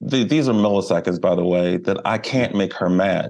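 With an American accent, a man speaks fairly slowly in a fairly low voice with ordinary pitch variation. He has an ordinary speaking voice. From Baltimore, US. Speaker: animal welfare nonprofit director and wildlife photographer. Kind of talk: interview conversation.

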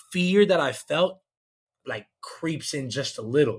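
With a plain, everyday voice, a man speaks at a fairly slow pace, his pitch fairly high with ordinary variation. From Georgia, US South. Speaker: comedian. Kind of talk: casual chat.

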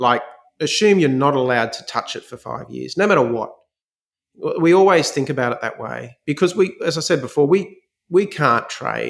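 With an Australian accent, a man talks at a fairly high pitch with lively intonation, vocal fry, and big swings in loudness. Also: moderate pace. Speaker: fund manager. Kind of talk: interview. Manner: halting.

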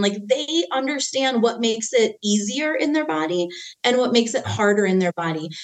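A woman is speaking. Her pitch swings very widely. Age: 40s. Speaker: parenting trainer. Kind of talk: casual chat.

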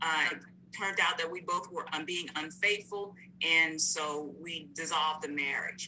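Over noticeable background noise, a woman speaks in an American accent at a moderate pace. Her pitch is fairly low and her intonation fairly even. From North Carolina. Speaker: marriage coach. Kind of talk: interview.

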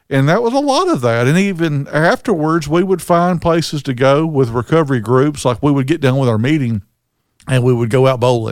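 Here a man talks at a fairly quick pace in an ordinary speaking voice, fairly high in pitch with ordinary pitch variation. The recording is very clean, the background silent. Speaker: recovery podcast co-host. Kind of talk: casual chat. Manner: relaxed, conversational.

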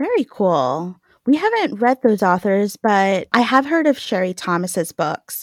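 A woman with an American accent at medium pitch, fairly slow, with very wide pitch swings, in a dry, close sound with no echo on a very clean recording with a silent background. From New York. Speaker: podcast co-host. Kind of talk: interview.

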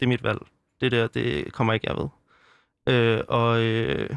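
A man of medium pitch at a fairly slow pace. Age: 20s. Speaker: anti-abortion youth organizer and theology student. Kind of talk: interview. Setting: studio. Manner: halting, many fillers.

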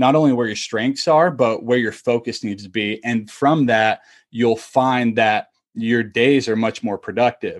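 Against a quiet background, a man with an American accent talks at a moderate pace and medium pitch. He has a plain, everyday voice. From Utah, US. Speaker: entrepreneur and journaling coach, former college baseball player. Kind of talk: podcast interview.

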